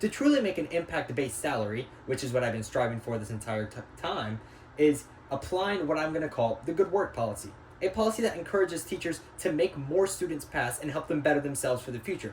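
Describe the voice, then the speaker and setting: A man speaks very fast, his intonation lively, while noticeable background noise continues underneath. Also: fairly high pitch for a man. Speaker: student. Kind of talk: class presentation. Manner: halting.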